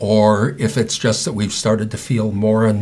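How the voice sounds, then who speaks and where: A man with an American accent talks at a fairly slow pace. Noticeable background noise is present. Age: 60s. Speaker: patient advocate and speaker. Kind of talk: interview.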